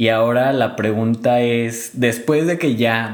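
A man speaks, with audible room echo around his voice. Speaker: podcast host. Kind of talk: interview chat.

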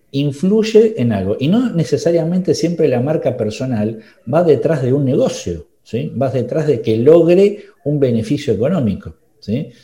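A man's voice, fairly high in pitch, with a dark, mellow tone and a somewhat breathy quality. He speaks at a fairly slow pace while his pitch swings very widely. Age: 40s. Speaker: podcast host, marketing consultant. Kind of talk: casual interview chat.

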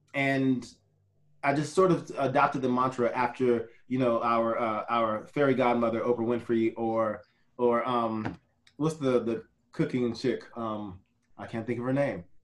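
A man uses a plain, everyday voice at medium pitch, moving at a moderate pace with fairly even intonation. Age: 40s. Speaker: photographer and real estate agent. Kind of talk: casual interview chat.

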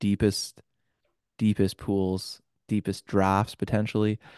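A man's fairly low, dark and mellow voice at a fairly slow pace, dry and close with no echo against a quiet background. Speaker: podcast host. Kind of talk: casual banter.

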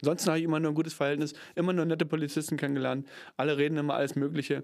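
The recording is very clean with a silent background, and the speaker's intonation stays fairly even. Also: man. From Germany, Cottbus (Brandenburg). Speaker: actor and theatre PR manager. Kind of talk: casual chat.

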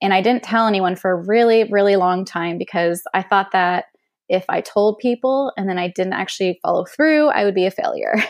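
A woman's medium-pitched, a normal speaking voice with ordinary pitch variation. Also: fairly quick pace. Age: 30s. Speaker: travel blogger. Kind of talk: casual interview chat.

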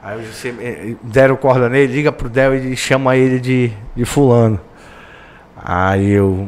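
A man at medium pitch, fairly slow, with fairly even intonation and long, frequent pauses. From Belém, Pará, northern Brazil. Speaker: sports radio reporter. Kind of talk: casual chat. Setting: studio.

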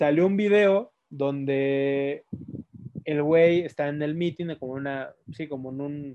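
With a Mexican accent, a man speaks at a fairly high pitch with ordinary pitch variation. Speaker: podcast co-host. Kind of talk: casual chat.

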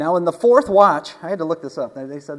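The voice belongs to a man. It rises and falls in pitch in a normal way. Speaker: minister. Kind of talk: sermon. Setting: church with live audience. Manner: fast talker when excited; passionate, animated.

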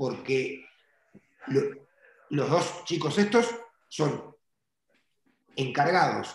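Using lively intonation and a fairly high pitch, a man with a Uruguayan accent speaks at a very slow pace with audible room echo. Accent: Uruguayan Spanish (rioplatense). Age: 40s. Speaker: car detailing entrepreneur and trainer. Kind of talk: interview conversation.

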